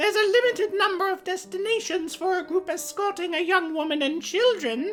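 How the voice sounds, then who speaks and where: A female-sounding put-on character voice, extremely high in pitch, talks at a fairly quick pace over clear background noise. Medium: actual play. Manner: sweet, sly.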